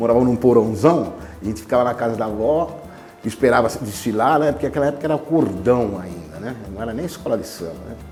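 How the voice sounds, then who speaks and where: Talking at a fairly quick pace, a man of medium pitch uses lively intonation amid noticeable background noise and audible room echo. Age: 70s. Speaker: samba musician. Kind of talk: interview. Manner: casual, conversational.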